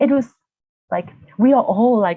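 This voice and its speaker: Using lively intonation, a woman with a Vietnamese accent speaks at a fairly slow pace. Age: 40s. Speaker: university lecturer, healing practitioner. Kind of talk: interview. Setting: video call. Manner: halting.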